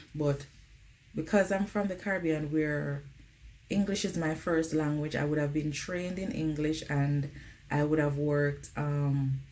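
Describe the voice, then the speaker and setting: Audible room echo surrounds a woman speaking fairly slowly in a very deep, low voice. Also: fairly even intonation. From Jamaica. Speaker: nurse vlogger. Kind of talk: casual vlog advice. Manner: conversational, uses um often.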